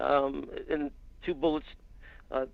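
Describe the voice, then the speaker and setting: A man speaks at a fairly slow pace with an American accent. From California, San Francisco Bay Area. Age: 60s. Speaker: former police officer and private investigator. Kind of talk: interview on a live stream.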